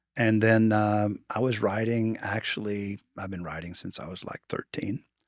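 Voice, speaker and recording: Using a plain, everyday voice, a man speaks at a fairly low pitch and a moderate pace with fairly even intonation and big swings in loudness, in a dry, close sound with no echo. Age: 60s. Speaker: advertising writer. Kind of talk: interview.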